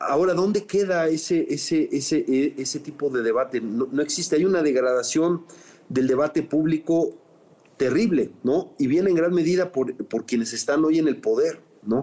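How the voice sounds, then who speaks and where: A man with a Mexican accent speaks at a moderate pace in a fairly high pitch, his tone dark and mellow, his loudness very even and his pitch moving in an ordinary way. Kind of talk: interview. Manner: halting, with many fillers and repetitions.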